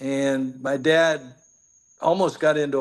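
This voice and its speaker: A man with an American accent, his voice fairly high-pitched, with ordinary pitch variation. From US, Pittsburgh. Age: 60s. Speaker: bowl game executive. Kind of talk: casual interview chat.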